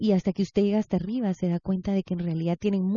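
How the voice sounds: Fairly even intonation and a natural reading voice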